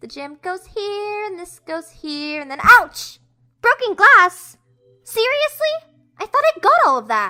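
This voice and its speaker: A put-on character voice, female-sounding, at an extremely high pitch, with very wide pitch swings and a fairly slow pace. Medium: audio drama. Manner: casual, friendly.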